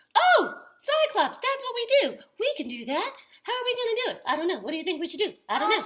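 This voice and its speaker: A squeaky, put-on character voice at an extremely high pitch, very fast pace and very wide pitch swings, with a cheerful tone. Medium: puppet show. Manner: cheerful, eager.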